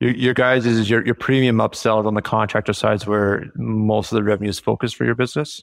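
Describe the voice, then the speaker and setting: In a normal speaking voice, someone talks at a fairly quick pace with fairly even intonation, with a dry, close sound with no echo, on a very clean recording with a silent background. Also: man. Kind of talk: casual interview chat.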